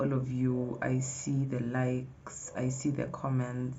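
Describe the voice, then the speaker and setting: A somewhat breathy woman's voice, very deep and low in pitch, with audible room echo. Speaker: vlogger. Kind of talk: casual vlog talk to camera. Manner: animated.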